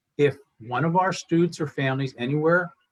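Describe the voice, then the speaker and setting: Somewhat breathy, a man speaks with an American accent. His pitch is fairly high. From Pittsburgh, western Pennsylvania. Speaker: school fundraising coordinator. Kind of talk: event presentation.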